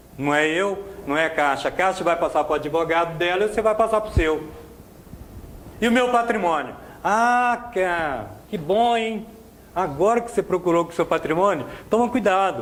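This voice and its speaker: The speaker goes at a moderate pace with ordinary pitch variation and long, frequent pauses. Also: man, high pitch for a man. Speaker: motivational speaker. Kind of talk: seminar talk. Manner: animated.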